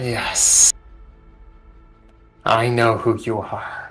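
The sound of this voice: Using a put-on character voice, a man speaks at medium pitch, raspy and hissing. Faint music plays in the background.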